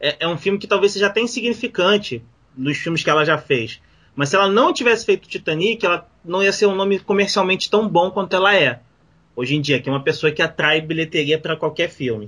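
High for a man, this man's voice has a bright, sharp tone. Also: lively intonation, fairly quick pace. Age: 40s. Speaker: podcast co-host. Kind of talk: casual chat.

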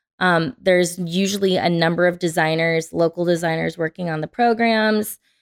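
A woman with a normal speaking voice talks at a moderate pace. Her pitch is fairly low and her intonation fairly even. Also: very clean recording, silent background. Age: 30s. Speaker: interior designer. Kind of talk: casual chat.

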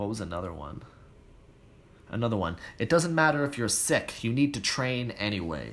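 Using a Canadian accent, a man speaks at a moderate pace with very wide pitch swings and long, frequent pauses. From Toronto, Canada. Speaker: fitness podcast host. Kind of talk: casual solo podcast, reading listener comments.

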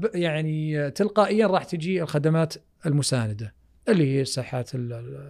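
A man talks at a moderate pace with a fairly high pitch. It is a plain, everyday voice. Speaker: architect. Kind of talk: casual chat.

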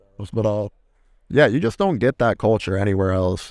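Fairly low male voice, ordinary pitch variation throughout. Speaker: college football quarterback. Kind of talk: casual chat. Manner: casual.

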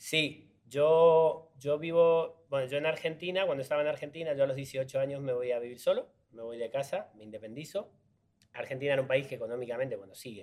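A man talks at a fairly quick pace in a fairly high pitch. His pitch varies in an ordinary way, while his loudness swings widely. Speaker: actor. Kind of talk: casual interview chat.

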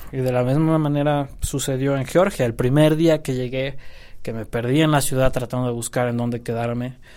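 A man's dark, mellow voice at medium pitch, with fairly even intonation and a moderate pace, in a very clean recording with a silent background. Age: 20s. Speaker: history student and part-time photographer. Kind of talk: interview. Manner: halting.

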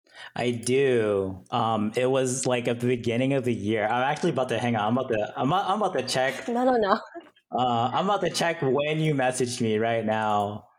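With a normal speaking voice, a man of medium pitch talks at a fairly quick pace, his loudness very even and his pitch varying in an ordinary way. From Hawaii and Japan, then US mainland. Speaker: cybersecurity engineer guest. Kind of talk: casual chat. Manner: casual, laid-back, filler-heavy.

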